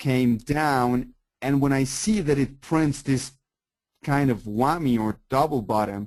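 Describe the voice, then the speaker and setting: A man with a Colombian accent speaks at a fairly slow pace. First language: Spanish. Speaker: forex trader. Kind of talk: webinar presentation. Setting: online webinar. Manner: animated.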